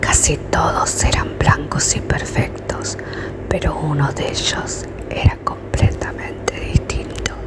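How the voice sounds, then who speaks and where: The speaker whispers at a very slow pace. Noticeable background noise is present. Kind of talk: whispered bedtime fairy tale reading. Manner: whispered; soft, calm.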